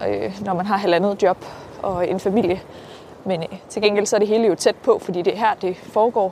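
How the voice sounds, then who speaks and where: A woman's medium-pitched voice with fairly even intonation, over noticeable background noise. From Denmark, Herning area (central Jutland). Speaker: local politician. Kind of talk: casual interview. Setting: outdoors, walking.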